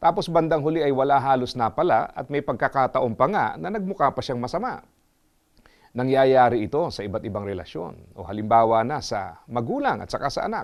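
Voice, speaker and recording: This man speaks at a medium pitch with very wide pitch swings. His pace is fairly quick, over a quiet background. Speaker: motivational speaker. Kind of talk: scripted inspirational talk.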